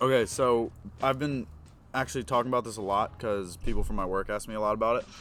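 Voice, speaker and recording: A man with a slight Philadelphia accent talks very fast at a medium pitch, with ordinary pitch variation. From Philadelphia, US. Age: young. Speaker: podcast guest, incoming college student. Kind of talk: casual chat.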